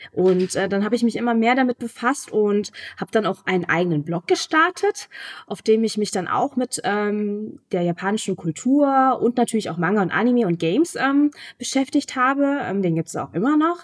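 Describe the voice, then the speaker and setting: At a fairly high pitch, a woman speaks with very wide pitch swings at a moderate pace, the sound dry and close with no echo. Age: 20s. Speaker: author and newspaper editor. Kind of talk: interview. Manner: hesitant, many fillers.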